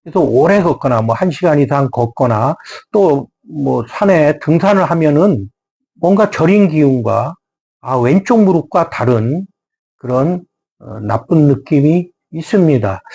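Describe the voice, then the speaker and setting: Very slowly, a man speaks in a somewhat breathy voice with a fairly high pitch, a dark, mellow tone and lively intonation. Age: 70s. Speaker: doctor of Korean medicine. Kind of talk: health talk. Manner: formal; hesitant with fillers.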